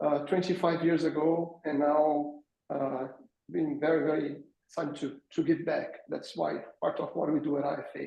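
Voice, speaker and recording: A man with a Brazilian accent speaks in a dark, mellow tone. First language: Portuguese. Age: 40s. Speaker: fitness business founder. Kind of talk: webinar panel introduction.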